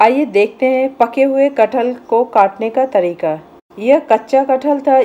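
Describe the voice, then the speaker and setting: At a very slow pace, the speaker talks in a dark, mellow tone. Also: woman, high pitch for a woman, ordinary pitch variation. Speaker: home cooking channel host. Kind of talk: tutorial. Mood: calm, instructive. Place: kitchen.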